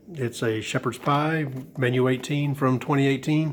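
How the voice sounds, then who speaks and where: Noticeable background noise lies beneath speech delivered at a fairly slow pace. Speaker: ration reviewer. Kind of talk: casual talk to camera.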